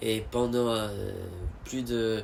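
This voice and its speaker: A man's medium-pitched voice at a very slow pace. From United States. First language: English (speaking French). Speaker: vlogger. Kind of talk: casual monologue. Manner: halting, many fillers and repetitions.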